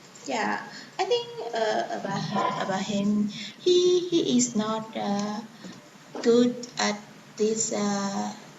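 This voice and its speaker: Through noticeable background noise, the speech moves at a very slow pace with long, frequent pauses. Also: woman. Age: 20s. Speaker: English learner. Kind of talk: student answers in online lesson. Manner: hesitant.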